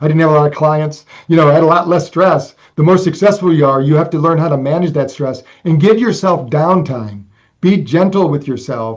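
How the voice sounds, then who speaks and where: In an ordinary speaking voice with ordinary pitch variation, a man talks fairly quickly. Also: fairly high pitch for a man. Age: 60s. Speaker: brain fitness technology creator. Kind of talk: interview conversation.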